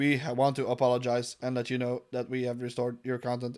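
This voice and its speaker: Using a put-on, robotic character voice, a man speaks at a fairly quick pace and medium pitch in a monotone, flat intonation. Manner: mock-formal.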